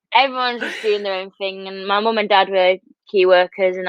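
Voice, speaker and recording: With a northern English accent, a woman speaks at medium pitch and a fairly quick pace. Her intonation is fairly even. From Buxton, Peak District, England. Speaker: competitive swimmer. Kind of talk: interview. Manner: casual, filler-heavy.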